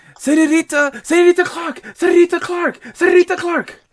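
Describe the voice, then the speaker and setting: A put-on character voice, extremely high in pitch, at a fairly quick pace. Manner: pestering, repeating name insistently.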